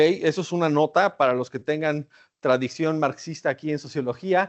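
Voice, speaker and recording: This man speaks with a Mexican accent. His pace is moderate. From Mexico. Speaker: academic researcher. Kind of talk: lecture. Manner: conversational, with filler hesitations.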